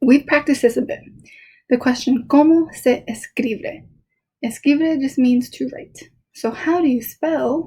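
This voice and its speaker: A woman with a high voice and a dark, mellow tone speaks at a fairly slow pace. Her intonation stays fairly even, while her loudness swings widely. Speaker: Spanish teacher. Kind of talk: recorded lesson for students.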